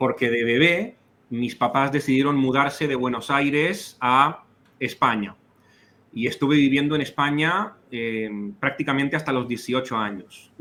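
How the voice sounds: The delivery has a fairly slow pace and ordinary pitch variation. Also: man, fairly high pitch for a man.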